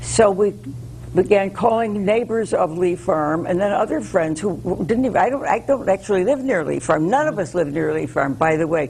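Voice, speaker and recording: Amid noticeable background noise, a woman at medium pitch speaks at a moderate pace with very wide pitch swings. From US Northeast, Connecticut. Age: 80s+. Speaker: local preservation activist. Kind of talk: interview.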